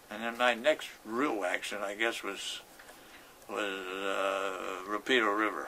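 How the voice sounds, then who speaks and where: A man's fairly low voice, very slow, with fairly even intonation and noticeable background noise. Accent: Pittsburgh. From Pittsburgh, East Liberty. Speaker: war veteran. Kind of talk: interview, personal war recollections. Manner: halting, with many repetitions and false starts.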